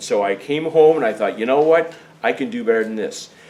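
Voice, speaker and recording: Through noticeable background noise, a man with a fairly high pitch talks with very wide pitch swings. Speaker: travel tour organizer and teacher. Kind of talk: informational meeting presentation. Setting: meeting room with small audience, recorded on camera.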